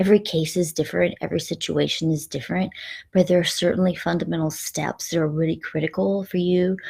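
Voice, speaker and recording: Very fast speech with a fairly even intonation. The voice is somewhat breathy. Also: woman. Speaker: life coach. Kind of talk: live stream talk. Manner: frequent filler ums.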